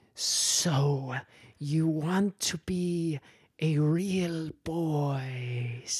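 A put-on character voice sits at a middle pitch. It moves at a very slow pace. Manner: wise, teasing.

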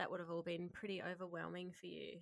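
A woman of medium pitch in an Australian accent. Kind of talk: casual interview chat.

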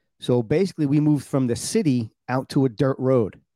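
Dark, mellow male speech in a New York accent at a moderate pace, dry and close with no echo. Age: 50s. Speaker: podcast host. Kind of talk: casual chat. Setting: video call.

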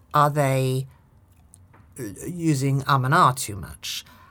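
A woman speaks with a British accent in a very deep, low pitch. The recording is very clean, with a silent background. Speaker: actress and communication trainer. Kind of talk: casual interview. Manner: commanding, authoritative.

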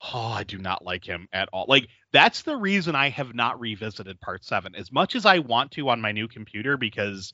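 A man with an ordinary speaking voice and lively intonation. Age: 40s. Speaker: podcast co-host, hospital office worker. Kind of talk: casual chat.

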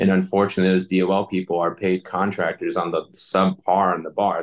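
This man's pitch is very deep and low. He talks at a moderate pace. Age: 40s. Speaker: military veteran and veteran coach. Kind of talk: interview.

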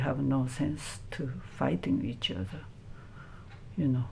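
Audible room echo surrounds a woman speaking with a Japanese accent. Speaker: Buddhist nun. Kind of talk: interview. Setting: temple. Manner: halting.

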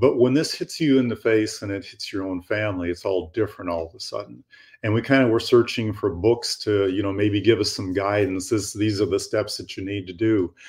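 This man's voice is fairly low and somewhat breathy, moving at a fairly quick pace with hardly any pauses. The recording is very clean with a silent background. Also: ordinary pitch variation. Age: 70s. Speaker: author. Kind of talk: interview.

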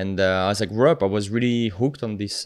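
A man with a French accent talks at a fairly quick pace, his intonation fairly even. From France, the Alps. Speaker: marine biologist, PhD student and nonprofit co-founder. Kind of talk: podcast interview.

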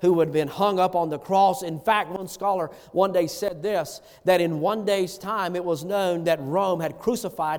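Words are read aloud plainly. Nothing more than straightforward reading.

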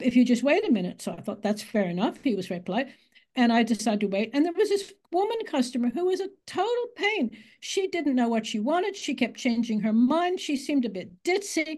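A woman's high-pitched voice at a fairly quick pace, with very wide pitch swings. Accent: American. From United States. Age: 80s+. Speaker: author. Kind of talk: interview.

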